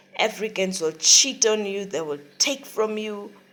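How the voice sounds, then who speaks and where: A woman's medium-pitched voice with ordinary pitch variation, plus noticeable background noise. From Africa. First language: not English. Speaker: vlogger. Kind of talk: casual vlog rant. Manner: animated.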